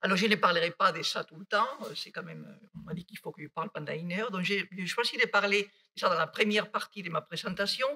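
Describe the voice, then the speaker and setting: A woman's medium-pitched voice with a Basque accent, at a very fast pace with hardly any pauses, big swings in loudness and a dry, close sound with no echo. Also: ordinary pitch variation. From Basque Country, Spain (near Bilbao). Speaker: mathematician. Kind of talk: lecture. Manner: halting.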